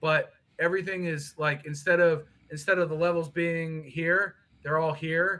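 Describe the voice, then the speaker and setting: A loud man's bright, sharp voice, monotone and flat, at a moderate pace. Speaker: guest on livestream. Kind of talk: casual chat. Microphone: laptop mic, low level.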